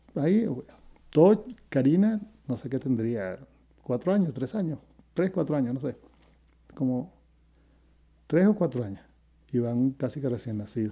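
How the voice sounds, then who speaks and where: A man with a Venezuelan accent speaks at a moderate pace in a dark, mellow tone, taking long, frequent pauses. His pitch swings very widely, and the background is quiet. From Venezuela (Caracas). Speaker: retired educator, host's father; interview guest, teacher. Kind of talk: casual interview; interview answer. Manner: halting, repeats words. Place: home room. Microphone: earbuds.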